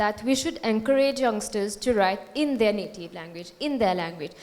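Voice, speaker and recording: A woman with a Mauritian accent speaks at a moderate pace in a fairly high pitch. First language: Mauritian Creole. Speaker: Hindi scholar. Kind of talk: panel discussion.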